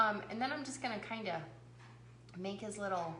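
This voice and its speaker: Through noticeable background noise and audible room echo, a woman of medium pitch speaks with ordinary pitch variation. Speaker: craft video host. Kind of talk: livestream craft tutorial. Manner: casual, chatty.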